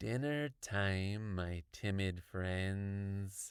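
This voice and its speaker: Growling and raspy, a man puts on a character voice at a fairly low pitch. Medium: read story.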